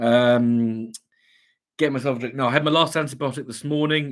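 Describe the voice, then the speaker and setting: At a moderate pace and with fairly even intonation, a plain, everyday voice comes through on a very clean recording with a silent background. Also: man. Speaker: livestream host. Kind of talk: casual chat.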